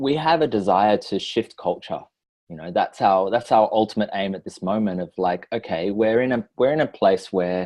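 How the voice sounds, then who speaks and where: A man's fairly low voice with an Australian accent. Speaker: relationship and personal growth facilitator. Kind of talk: podcast interview.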